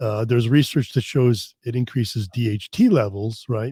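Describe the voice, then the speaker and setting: With an American accent, a man speaks at medium pitch and a moderate pace, somewhat breathy, with a dark, mellow tone. His pitch varies in an ordinary way, and the sound is dry and close with no echo. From US Northeast, Connecticut. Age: 50s. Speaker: fitness expert and research scientist. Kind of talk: podcast interview. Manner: casual, many restarts and fillers.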